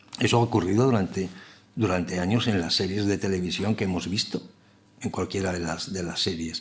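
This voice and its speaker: With a very deep, low pitch and fairly even intonation, a man speaks at a fairly quick pace. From Basque Country, San Sebastián. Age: middle-aged. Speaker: TV scriptwriter and lecturer. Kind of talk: lecture. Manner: halting, many repetitions and fillers.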